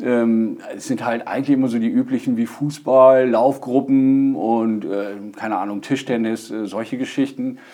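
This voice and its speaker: The speaker is a man at medium pitch. He talks fairly slowly with fairly even intonation. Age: 30s. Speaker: stand-up paddling instructor and hobby racer. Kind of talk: podcast interview. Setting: studio. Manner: hesitant, many fillers.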